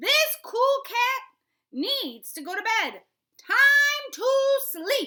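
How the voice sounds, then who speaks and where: A woman's put-on character voice, extremely high in pitch and very slow in pace. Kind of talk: bedtime story. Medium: read story. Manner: laid-back, cool.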